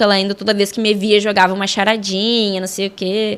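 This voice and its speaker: A woman with a southern Brazilian accent speaks over noticeable background noise. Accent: southern Brazilian gaucho. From southern Brazil, Alegrete, Rio Grande do Sul. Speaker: sports journalist and football referee. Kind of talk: casual interview chat. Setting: studio. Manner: animated.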